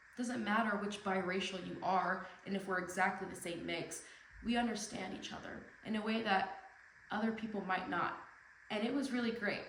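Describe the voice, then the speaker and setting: Amid noticeable background noise and audible room echo, a woman speaks at a moderate pace with a medium pitch and fairly even intonation. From Tijuana, Mexico and US. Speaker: speaker. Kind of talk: speech. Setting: stage with audience.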